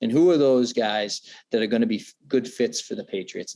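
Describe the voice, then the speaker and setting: A man with a Boston accent speaks at a fairly quick pace with ordinary pitch variation. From Massachusetts, near Foxborough. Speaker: NFL draft analyst. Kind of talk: podcast interview. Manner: many fillers and repetitions.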